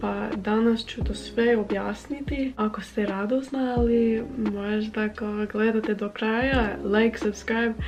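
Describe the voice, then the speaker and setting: A woman at a fairly high pitch and fairly slow pace, with hardly any pauses and fairly even intonation, over noticeable background noise. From United States. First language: English (speaking Croatian). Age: 20s. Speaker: language-learning vlogger. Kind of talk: casual vlog talk. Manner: halting with filler sounds.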